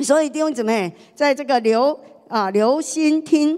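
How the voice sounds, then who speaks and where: Against a quiet background, a woman speaks fairly slowly. Her intonation is lively. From Taiwan. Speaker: pastor's wife preaching. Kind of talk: sermon. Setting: church. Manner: animated. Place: church. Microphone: handheld.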